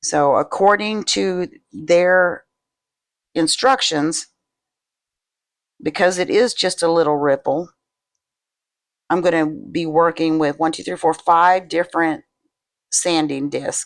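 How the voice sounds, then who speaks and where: Using long, frequent pauses at a very slow pace, a woman speaks at a fairly low pitch with ordinary pitch variation. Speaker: resin crafter, video creator. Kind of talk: tutorial. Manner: casual.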